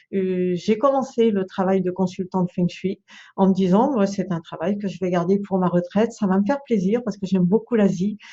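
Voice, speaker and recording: A woman talks at a medium pitch and moderate pace, her voice somewhat breathy and her pitch variation ordinary. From France, Brittany countryside. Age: 60s. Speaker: feng shui consultant and trainer. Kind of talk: video presentation. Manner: hesitant, many fillers.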